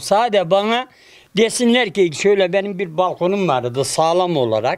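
Against a quiet background, a man with a high pitch speaks with lively intonation. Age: 70s. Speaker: construction worker, earthquake survivor. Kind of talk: interview answer. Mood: weary, complaining about hardship. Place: street. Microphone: handheld.

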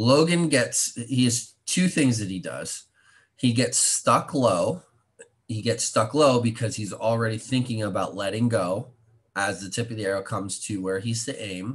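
This man's voice is somewhat breathy, with ordinary pitch variation. He keeps a moderate pace. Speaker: archery coach. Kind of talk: commentary.

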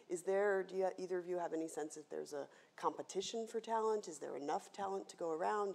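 Her fairly low voice has a dark, mellow tone, ordinary pitch variation and a fairly quick pace as the woman speaks. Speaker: panel moderator, planetarium director; panel moderator. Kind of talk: moderated panel discussion. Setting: stage with live audience. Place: stage.

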